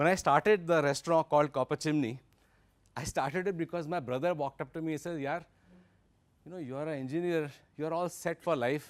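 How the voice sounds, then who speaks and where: A man with an Indian accent, fairly high-pitched and fairly quick, with fairly even intonation and long, frequent pauses, in a very clean recording with a silent background and a dry, close sound with no echo. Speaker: investor and workshop speaker. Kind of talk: lecture.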